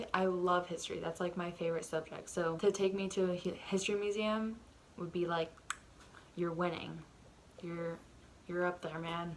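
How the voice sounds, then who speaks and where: A soft-spoken woman talks at fairly low pitch with monotone, flat intonation and long, frequent pauses. Noticeable background noise runs underneath. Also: moderate pace. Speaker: vlogger. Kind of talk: casual chat. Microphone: audio turned up because quiet.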